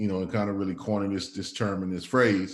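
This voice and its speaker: A man's voice with audible room echo. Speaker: community organizer and speaker. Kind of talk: talk to a small group. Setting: in person with a group. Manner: halting.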